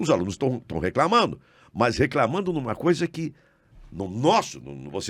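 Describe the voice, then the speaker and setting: A man speaks at a fairly quick pace with vocal fry. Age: 70s. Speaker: former state politician and radio and TV host. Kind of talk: casual interview chat. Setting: podcast studio.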